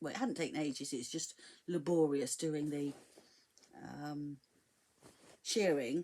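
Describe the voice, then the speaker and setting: Someone with a southern English accent talks at a moderate pace with ordinary pitch variation. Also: woman. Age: 60s. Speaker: sewing vlogger. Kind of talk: tutorial. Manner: casual, hesitant with many fillers.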